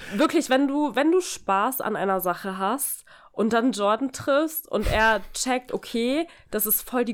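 A woman with a normal speaking voice, fairly high in pitch, talks at a fairly slow pace in a very clean recording with a silent background. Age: 20s. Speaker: podcast host. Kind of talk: casual chat. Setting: recording in co-host's apartment.

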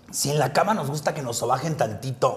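With a Mexican accent, a man speaks in an animated tone over noticeable background noise. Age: 40s. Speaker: drag queen comedian and podcast host. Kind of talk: casual chat.

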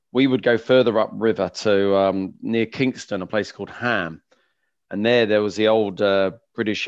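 Here a man talks with a southern English accent. His voice has a fairly low pitch. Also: quiet background. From West London, England. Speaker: open water swimming tour company founder. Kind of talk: interview. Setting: video call. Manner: halting.

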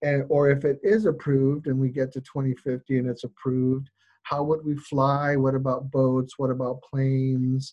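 With an American accent, a man speaks at medium pitch and a moderate pace, his dark, mellow tone held in a monotone, flat intonation. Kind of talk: casual interview questions. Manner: halting, self-correcting.

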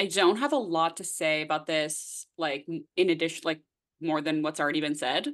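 Heard against a quiet background, this is an ordinary speaking voice with a Canadian accent, moving at a moderate pace with ordinary pitch variation. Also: woman. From Nova Scotia, eastern Canada. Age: 20s. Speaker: podcast co-host. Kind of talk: casual chat.

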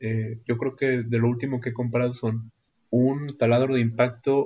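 Medium-pitched, somewhat breathy man's voice with a dark, mellow tone and fairly even intonation. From northern Mexico, Ciudad Acuña, Coahuila. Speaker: carpenter. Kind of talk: interview.

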